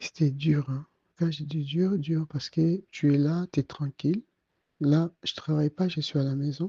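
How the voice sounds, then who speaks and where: A soft-spoken man talks at a fairly slow pace in a fairly high pitch, somewhat breathy, with a dark, mellow tone. His intonation stays fairly even, and the sound is dry and close with no echo. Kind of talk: testimony. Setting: at home, night audio recording. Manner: halting.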